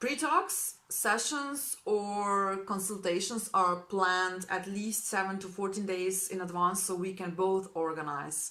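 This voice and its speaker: Fairly slow speech with hardly any pauses from a woman with a Slovene accent, bright and sharp in tone, with ordinary pitch variation and audible room echo. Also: medium pitch for a woman. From Slovenia. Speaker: spiritual healing practitioner. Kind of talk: informational introduction video to clients. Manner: warm, enthusiastic.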